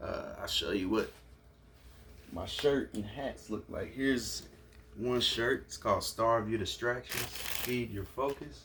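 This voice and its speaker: Noticeable background noise behind a man's fairly slow delivery. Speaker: entrepreneur and YouTuber. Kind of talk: unboxing video. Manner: stuttering; animated.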